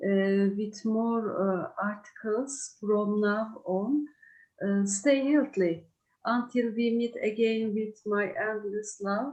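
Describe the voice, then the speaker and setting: Speaking very slowly with a Turkish accent, a woman uses a fairly high pitch and ordinary pitch variation. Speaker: craft writer. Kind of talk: presentation. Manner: halting.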